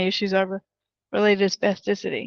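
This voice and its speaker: Recorded against a quiet background, a woman's voice comes across dry and close with no echo. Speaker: podcast co-host. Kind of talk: casual chat. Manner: soft-spoken.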